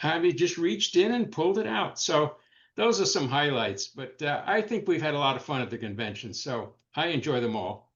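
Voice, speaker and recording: A man's voice with vocal fry at a moderate pace. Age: 80s+. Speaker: retired sweepstakes hobbyist. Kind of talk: casual chat.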